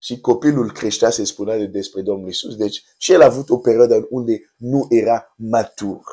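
A man's medium-pitched voice with a dark, mellow tone, at a moderate pace with ordinary pitch variation and hardly any pauses, on a very clean recording with a silent background. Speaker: preacher. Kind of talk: devotional teaching. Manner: halting, with filler words.

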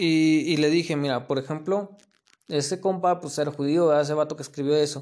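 This man speaks in a Mexican accent with a fairly high pitch and fairly even intonation. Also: fairly quick pace. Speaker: podcaster. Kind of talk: casual monologue. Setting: recorded late at night. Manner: halting.

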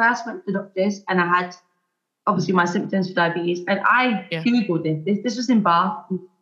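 A woman at a very fast pace with lively intonation. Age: 20s. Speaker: teacher. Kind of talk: casual chat.

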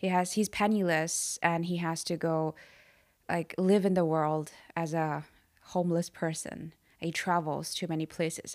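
A woman with a Chinese accent speaks at a fairly low pitch and a fairly slow pace, in monotone, flat intonation. The recording is very clean, with a silent background. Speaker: podcast host. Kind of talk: casual chat.

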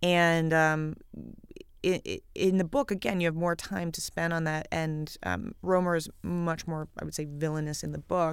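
A woman's ordinary speaking voice, fairly low in pitch, at a moderate pace. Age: 30s. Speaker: screenwriter. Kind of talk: film commentary.

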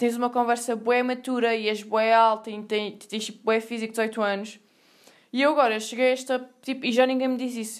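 Speaking at a fairly quick pace in a Lisbon accent, a woman uses a fairly high pitch with monotone, flat intonation. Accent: European Portuguese, Lisbon area. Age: 20s. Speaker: podcast host, university student. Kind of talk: casual monologue. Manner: casual, slangy and rambling.

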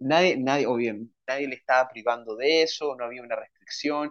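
This man's voice sits fairly high. Its pitch moves in an ordinary way. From Chile. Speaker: writer and language and literature teacher. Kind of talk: casual interview.

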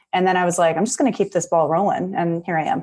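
Against a quiet background, a woman of medium pitch speaks at a very fast pace in an enthusiastic tone. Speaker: clinical psychologist. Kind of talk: casual interview.

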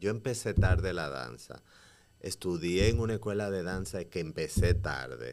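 A man speaks at a fairly slow pace in a very deep, low voice with vocal fry and lively intonation, the recording very clean with a silent background. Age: 30s. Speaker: playwright, actor and dancer. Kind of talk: casual interview.

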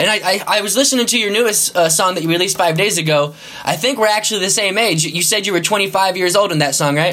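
Raising and projecting his voice, a man talks at a very fast pace with hardly any pauses in a high pitch, with noticeable background noise. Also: ordinary pitch variation. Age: 20s. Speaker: podcast host. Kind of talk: casual interview chat. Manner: casual, friendly.

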